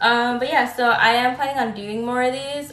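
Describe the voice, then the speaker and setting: A woman at a moderate pace amid audible room echo and noticeable background noise. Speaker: tarot reader. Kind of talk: live stream tarot reading. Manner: halting, stutters at times; casual, filler-heavy.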